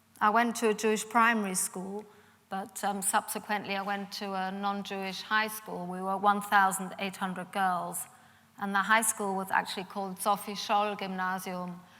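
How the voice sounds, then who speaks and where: A woman speaks with a slight German accent and a bright, sharp tone. Her intonation is monotone and flat, at a moderate pace. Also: medium pitch for a woman. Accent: slight German twang in English. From Germany, Munich, Bavaria. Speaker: Holocaust survivors' daughter, speaker. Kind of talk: public talk.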